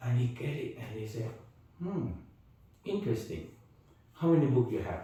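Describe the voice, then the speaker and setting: A man with a dark, mellow, somewhat breathy tone speaks at a moderate pace, his pitch swinging very widely. He leaves long, frequent pauses. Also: medium pitch for a man. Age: 80s+. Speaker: Taoist master. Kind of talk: interview answer.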